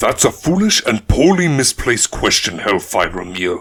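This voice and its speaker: A man's put-on, growling character voice at medium pitch, moderate pace and very wide pitch swings. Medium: read story.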